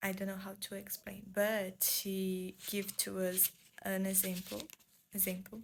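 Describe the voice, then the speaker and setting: Slowly and flatly, a woman with a Portuguese accent speaks at a medium pitch, her voice somewhat breathy and the pace very slow. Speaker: booktuber. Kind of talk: book review vlog. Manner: halting, searching for English words.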